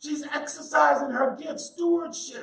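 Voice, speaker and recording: Speaking at a very slow pace, a man uses lively intonation. Room echo is audible. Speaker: pastor. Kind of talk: sermon.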